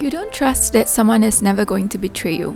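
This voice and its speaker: Music plays in the background as a calm-toned voice speaks at a moderate pace. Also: woman. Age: 30s. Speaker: vlogger. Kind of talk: reflective vlog voice-over. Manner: calm, reflective.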